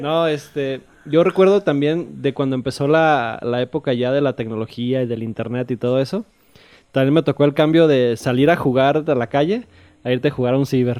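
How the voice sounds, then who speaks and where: Pitched at a medium level, a man speaks with ordinary variation in pitch. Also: moderate pace. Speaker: podcast guest. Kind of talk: casual chat. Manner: soft-spoken.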